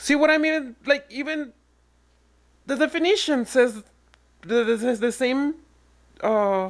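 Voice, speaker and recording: Speaking at a fairly slow pace with long, frequent pauses, a woman uses a high voice and lively intonation in a very clean recording with a silent background. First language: Spanish. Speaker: online commentator. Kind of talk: reaction rant.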